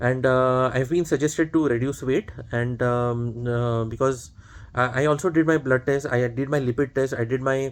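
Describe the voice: A man at a medium pitch, with fairly even intonation and few pauses. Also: moderate pace.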